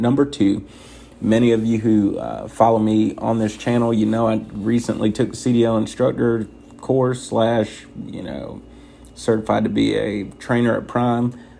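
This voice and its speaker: A soft-spoken man talks at a fairly low pitch with fairly even intonation. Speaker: truck driver trainer. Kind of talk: tutorial. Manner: soft-spoken, quiet inside voice.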